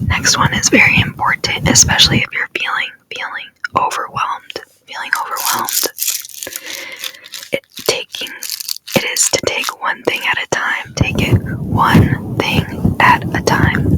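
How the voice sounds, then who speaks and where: A woman whispers in a gentle, soothing tone at a fairly slow pace, leaving long, frequent pauses. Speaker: ASMR content creator. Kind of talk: ASMR motivational talk to camera. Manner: soft, gentle, repetitive, soothing.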